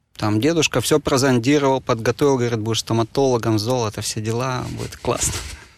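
At a very fast pace with hardly any pauses, a man talks in a medium pitch and fairly even intonation. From Moscow, Russia. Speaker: sommelier and wine bar manager. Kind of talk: interview conversation.

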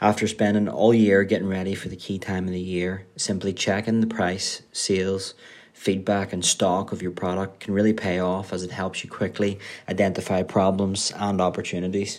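Monotone, flat delivery with a Northern Irish accent at a moderate pace, on a very clean recording with a silent background. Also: man, fairly low pitch for a man. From Northern Ireland. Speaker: Amazon seller manager. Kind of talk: scripted tip recording.

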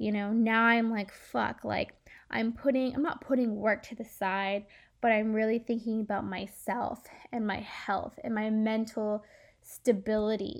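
Delivered at a fairly slow pace, the speech comes through as a very clean recording with a silent background. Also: woman. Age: 20s. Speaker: podcast host. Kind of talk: casual monologue. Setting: recording alone late at night. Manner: rambling, filler-heavy.

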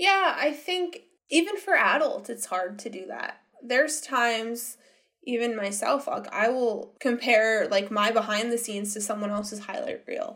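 Her voice is high-pitched, with an American accent. She speaks with lively intonation. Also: moderate pace. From Pennsylvania, small town. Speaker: therapist. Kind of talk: interview.

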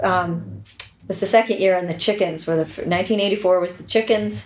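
A woman with a Boston accent speaks at a fairly slow pace and fairly low pitch, with lively intonation. Background noise is noticeable. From US Northeast, Boston area (Braintree). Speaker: professional organizer and home stager. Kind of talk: casual interview. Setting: real estate office.

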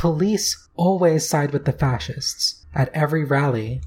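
A fairly slow delivery on a very clean recording with a silent background. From US, raised in several states including Virginia and Texas. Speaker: co-host, musician. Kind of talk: casual conversation, commentary.

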